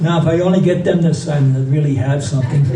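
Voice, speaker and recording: Room echo is audible. Background noise is noticeable. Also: man. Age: 90s. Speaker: comedian. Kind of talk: interview clip.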